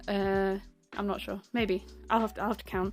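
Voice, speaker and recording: Music plays in the background as a woman speaks at a moderate pace and medium pitch. Her intonation is monotone and flat. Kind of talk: casual talk to camera.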